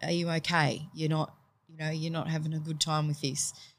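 The background is silent and the recording very clean. A woman talks with a very deep, low pitch. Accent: Australian. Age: 40s. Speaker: teacher. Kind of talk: casual interview chat.

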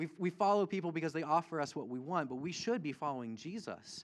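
Over a quiet background, a man with fairly high pitch and lively intonation talks in an ordinary speaking voice. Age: 30s. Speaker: pastor. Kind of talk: sermon. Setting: church.

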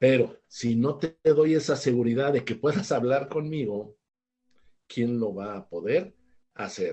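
A somewhat breathy man with a Mexican accent and a fairly high pitch, at a moderate pace. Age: 60s. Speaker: author and family educator. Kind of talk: interview on parenting.

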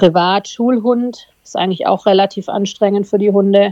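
A woman with an ordinary speaking voice talks at medium pitch. She keeps a moderate pace and fairly even intonation. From southern Germany, Tübingen. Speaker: dog breeder and herder. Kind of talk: casual interview.

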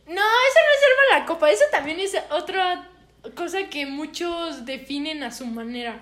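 This woman talks in a high voice with a Mexican accent. Her pitch swings very widely, and she speaks fairly slowly. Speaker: podcast co-host. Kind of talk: casual chat. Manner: loud.

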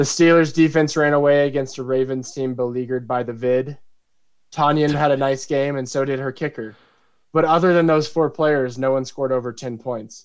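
Speaking at a fairly quick pace, a man with a normal speaking voice keeps a fairly high pitch and fairly even intonation. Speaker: fantasy football league commissioner and podcast co-host. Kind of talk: casual chat; scripted narration.

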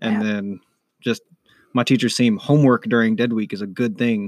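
On a very clean recording with a silent background and a dry, close sound without echo, a man of medium pitch speaks at a fairly quick pace with fairly even intonation. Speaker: college student guest. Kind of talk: casual chat.

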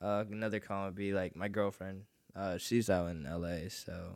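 A man speaks at a very deep, low pitch with fairly even intonation. The recording is very clean with a silent background. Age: 20s. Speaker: musician. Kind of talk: casual chat. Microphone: too far from the mic.

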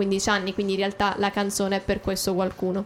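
Music plays in the background. The pace is fairly quick. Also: woman. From Abruzzo, Italy (Teramo). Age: 20s. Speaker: singer-songwriter. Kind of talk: radio interview. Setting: radio studio.

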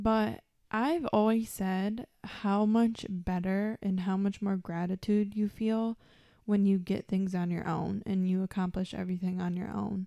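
At a fairly slow pace, a woman speaks in a medium pitch with ordinary variation and a dark, mellow tone, on a very clean recording with a silent background. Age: 20s. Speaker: podcast co-host. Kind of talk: casual chat.

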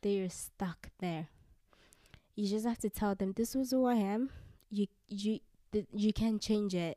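A woman's medium-pitched voice with a dark, mellow tone, fairly slow pace, long and frequent pauses, fairly even intonation and very even loudness. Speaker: guest. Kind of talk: casual chat.

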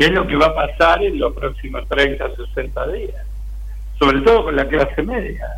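A man talks at a fairly slow pace while noticeable background noise carries on around him. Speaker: social movement leader. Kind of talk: political interview. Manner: halting, frequent filler words.

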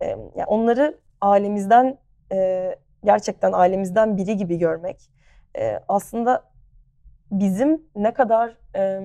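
A woman speaks very slowly, with long, frequent pauses. Her medium-pitched voice has a dark, mellow tone and ordinary pitch variation. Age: 20s. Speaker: sports club marketing executive. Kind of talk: interview. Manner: frequent hesitation fillers.

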